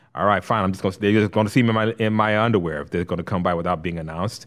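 Quick to the extreme, a man talks at a very fast pace with a fairly low pitch. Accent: American. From Los Angeles (Compton). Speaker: actor and voice talent. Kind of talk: casual chat. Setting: studio.

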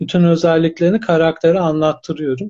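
A man with a plain, everyday voice, fairly high in pitch. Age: 30s. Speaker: academic and novelist. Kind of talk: live-stream interview.

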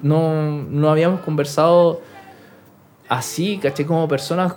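Fairly slow speech against noticeable background noise. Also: man. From Chile. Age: 20s. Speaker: professional BMX rider. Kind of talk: casual interview chat. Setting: studio with cameras.

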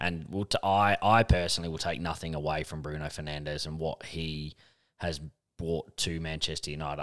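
The speech moves at a fairly quick pace with fairly even intonation. The recording is very clean, with a silent background. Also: man. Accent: Australian. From Australia. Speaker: football podcast co-host. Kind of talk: casual chat.

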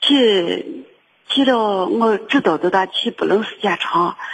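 This woman's intonation is lively and her pitch sits in the medium range. She speaks at a fairly slow pace. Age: 60s. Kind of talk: phone-in personal account. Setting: phone call. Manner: halting, with many repetitions.

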